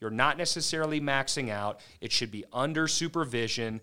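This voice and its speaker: This man has a normal speaking voice, moving at a moderate pace with ordinary pitch variation. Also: very clean recording, silent background. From Maryland, US. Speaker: physical therapist and clinic owner. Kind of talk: podcast interview.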